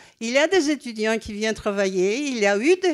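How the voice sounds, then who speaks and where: A woman's fairly high voice, lively in intonation, at a fairly slow pace. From Greece. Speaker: former NGO president, audience member. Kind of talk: audience intervention at round table. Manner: halting.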